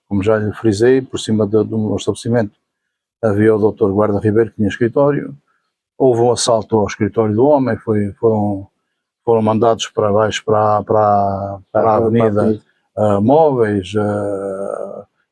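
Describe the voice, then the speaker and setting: With a European Portuguese accent, a man speaks at a moderate pace in a dark, mellow tone, his pitch fairly low and his intonation fairly even. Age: 70s. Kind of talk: interview answer. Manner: hesitant, repetitive.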